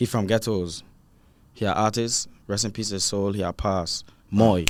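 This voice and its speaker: Recorded very cleanly against a silent background, a man with a Virgin Islands accent speaks at a moderate pace with a fairly low pitch and fairly even intonation. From US Virgin Islands. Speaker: rapper. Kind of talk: casual interview.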